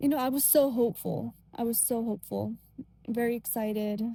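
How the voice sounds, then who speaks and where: A soft-spoken woman talks at a moderate pace with ordinary pitch variation. Her fairly high voice has a gentle tone that is also dark and mellow. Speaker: faith vlogger. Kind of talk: casual monologue. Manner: gentle, soft-spoken; hesitant, many fillers.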